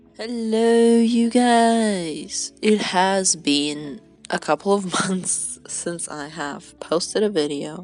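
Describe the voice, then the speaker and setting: Music plays in the background as a woman talks at a medium pitch with lively intonation. She goes at a very slow pace with hardly any pauses. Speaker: art student. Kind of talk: casual commentary while drawing.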